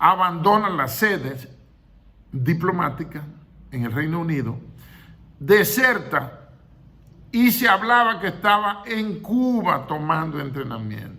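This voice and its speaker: Amid audible room echo, a man with a high pitch and very wide pitch swings talks at a very slow pace with long, frequent pauses. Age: 60s. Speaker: retired general, history commentator. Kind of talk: history commentary monologue.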